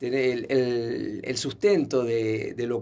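Over light background noise, a man talks at a medium pitch with fairly even intonation. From Uruguay. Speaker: salsa teacher and dancer; salsa teacher. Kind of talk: radio interview. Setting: radio studio. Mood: warm, nostalgic. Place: studio. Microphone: studio mic.

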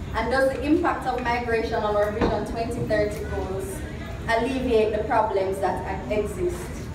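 A woman talks at a fairly slow pace. There is noticeable background noise and audible room echo. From Jamaica. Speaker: symposium moderator. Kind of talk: prepared speech. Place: hall. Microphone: camera far.

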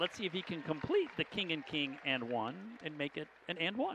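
Crowd noise runs in the background as a man talks in an animated, upbeat tone at a fairly quick pace. His pitch makes very wide swings, and the sound is dry with no echo. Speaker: color commentator. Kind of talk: live sports commentary. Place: stadium.

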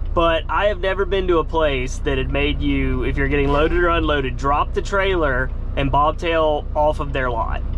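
A man at a moderate pace with hardly any pauses, in a dry sound with no echo and light background noise. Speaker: truck driver vlogger. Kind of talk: casual vlog chat. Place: car. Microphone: phone near.

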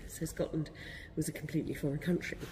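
Fast pace and fairly even intonation. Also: woman, low pitch for a woman.

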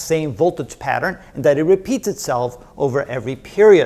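The pace is fairly quick and the tone slightly mellow. Intonation is lively. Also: man.

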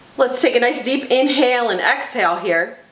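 A woman with a high pitch speaks at a moderate pace. There is light background noise and audible room echo. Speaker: yoga teacher. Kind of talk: guided yoga instruction. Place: gym.

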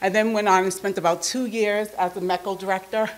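A woman is speaking at a moderate pace. Her intonation stays fairly even. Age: 40s. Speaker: nonprofit executive, keynote speaker. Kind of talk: keynote speech. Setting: stage with audience. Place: meeting room. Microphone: podium.

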